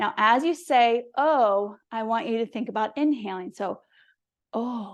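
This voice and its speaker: An ordinary speaking voice moves at a fairly slow pace with ordinary pitch variation against a quiet background. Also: woman, fairly high pitch for a woman. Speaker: yoga and mindfulness teacher. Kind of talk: guided yoga instruction. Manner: calm, instructional.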